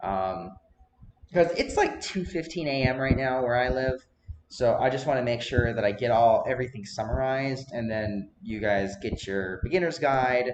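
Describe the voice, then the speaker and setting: A man talks at a moderate pace with a medium pitch. His intonation is lively. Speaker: gaming video creator. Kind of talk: tutorial. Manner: jittery.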